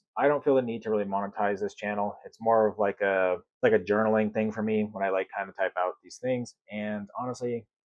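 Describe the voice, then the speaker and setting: A man talks at a fairly low pitch with fairly even intonation. His pace is fairly quick. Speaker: content creator. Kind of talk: casual vlog talk. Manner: monotone, not very expressive.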